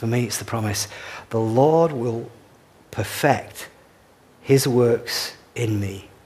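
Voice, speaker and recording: There is audible room echo as a man speaks at a medium pitch with ordinary pitch variation. His voice comes across somewhat breathy. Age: 60s. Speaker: pastor. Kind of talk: sermon.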